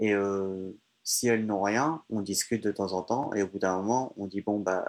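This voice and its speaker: Man's fairly low voice at a fairly slow pace with fairly even intonation. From France, countryside. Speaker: traveler. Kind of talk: interview. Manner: halting.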